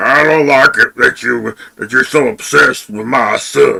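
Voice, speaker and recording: This man puts on a character voice. He talks at a moderate pace. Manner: hard put-on voice; scolding, possessive.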